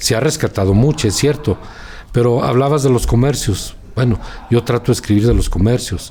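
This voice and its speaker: A man speaks in an unremarkable speaking voice, medium in pitch with ordinary pitch variation. His pace is moderate and his loudness very even. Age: 60s. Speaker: journalist. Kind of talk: interview.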